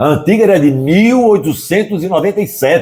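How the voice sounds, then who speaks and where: A man speaks at a fairly slow pace. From Brazil, Northeast (Pernambuco). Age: 70s. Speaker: writer and cultural producer. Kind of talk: interview. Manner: animated.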